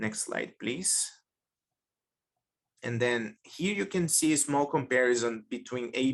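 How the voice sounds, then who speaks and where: A man with a Portuguese accent speaks at a fairly slow pace with ordinary pitch variation. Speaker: data science researcher. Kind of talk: webinar lecture.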